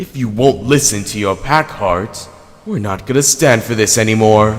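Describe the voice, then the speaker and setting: This is a cartoonish character voice. It moves at a moderate pace. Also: man, medium pitch for a man. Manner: angry, shouting.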